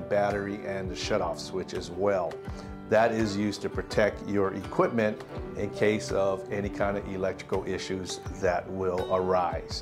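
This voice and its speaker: A man speaks at a fairly slow pace in a fairly low pitch, with clear music playing in the background. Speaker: product reviewer. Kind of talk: product review tutorial. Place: home room. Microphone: lapel.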